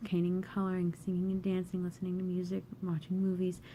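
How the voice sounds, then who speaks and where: At a fairly quick clip, the speech comes out dark and mellow in tone and somewhat breathy. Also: woman. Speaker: poet. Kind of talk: spoken word poetry.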